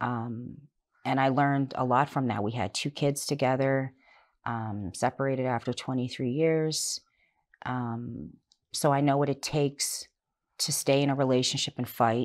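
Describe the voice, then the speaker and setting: Speaking at a fairly slow pace, a woman with a very deep, low pitch keeps a fairly even intonation over a quiet background. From Halifax, Nova Scotia, Canada; Nova Scotia, Canada. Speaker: life coach and author; life coach. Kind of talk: interview. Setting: studio. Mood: calm, personal, earnest. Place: studio. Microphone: lapel.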